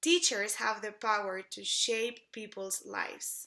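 A woman speaks fairly slowly in a Spanish accent, her tone bright and sharp. The background is quiet. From Mexico City. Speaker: English teacher. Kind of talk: self-introduction video, scripted. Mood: warm, earnest, enthusiastic. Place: home room. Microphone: phone near.

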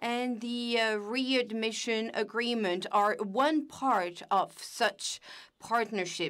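A woman's fairly high voice with ordinary pitch variation, very slow pace, and a quiet background. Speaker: simultaneous interpreter; panelist. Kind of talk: simultaneous interpretation. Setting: video call. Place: office. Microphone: video call.

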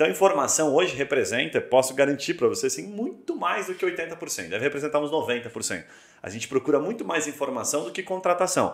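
The speech moves at a very fast pace with vocal fry. The background is quiet, though audible room echo comes through. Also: man. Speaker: podcast host. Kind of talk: podcast interview. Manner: casual. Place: studio.

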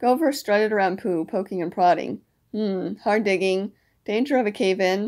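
Ordinary pitch variation runs through an unforced reading voice. Behind it, the background stays quiet.

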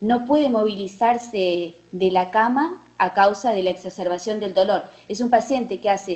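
Her delivery is fairly slow. The woman's pitch rises and falls in an ordinary way. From Uruguay. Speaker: oncologist; presenter. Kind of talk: case presentation. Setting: video call. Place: hall.

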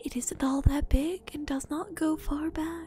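A soft-spoken voice with a calm tone moves at a fairly slow pace in a dry sound with no echo, with music playing in the background. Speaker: streamer. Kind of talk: ASMR book reading. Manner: soft-spoken, calm. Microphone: studio mic.

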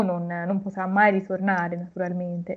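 Against a quiet backdrop, the words come at a moderate speed. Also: woman. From Tuscany, Florence area; Tuscany. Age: 20s. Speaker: recent university graduate; interviewee. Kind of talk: interview. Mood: calm, reflective. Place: home room. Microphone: video call.

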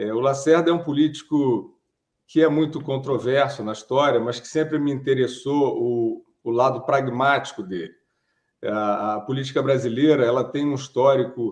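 At a moderate pace and with ordinary pitch variation, a man speaks over a quiet background. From Brazil. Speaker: writer and journalist; journalist. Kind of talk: interview. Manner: hesitant, many fillers. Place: home room. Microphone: webcam.

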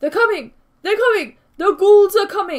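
The speed is moderate. It is a put-on character voice pitched extremely high. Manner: panicked, urgent.

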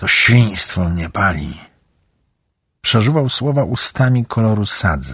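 A man speaks in a dramatic tone with lively intonation and a somewhat breathy quality, on a very clean recording with a silent background. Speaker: audiobook narrator. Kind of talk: audiobook narration. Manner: dramatic, varied pacing and voices.

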